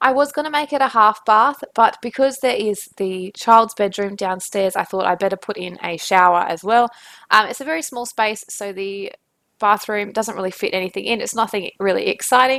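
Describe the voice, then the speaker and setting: With an Australian accent, a woman speaks at a moderate pace in a fairly high voice. Her tone is bright and sharp, and her pitch varies in an ordinary way. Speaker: gaming YouTuber. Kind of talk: voice-over commentary on a speed build. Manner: casual, with many fillers.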